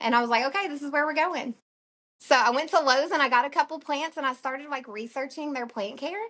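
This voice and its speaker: With an Alabama accent, a woman speaks with ordinary pitch variation. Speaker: plant shop owner. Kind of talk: podcast interview.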